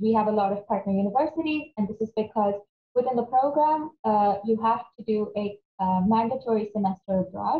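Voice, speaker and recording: There is audible room echo as a woman speaks at a moderate pace with a fairly high pitch. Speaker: academic coordinator. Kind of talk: webinar presentation. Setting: video call. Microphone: webcam.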